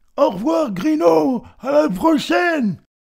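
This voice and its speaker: A man's put-on character voice, extremely high in pitch, with very wide pitch swings and a fairly slow pace. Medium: read story. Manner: warm, stammering.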